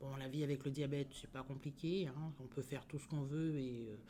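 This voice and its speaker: Speaking at a moderate pace, a woman has a very deep, low pitch. Her tone is dark and mellow. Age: 60s. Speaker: diabetes patient giving testimony. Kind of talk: interview testimony. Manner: hesitant, many fillers.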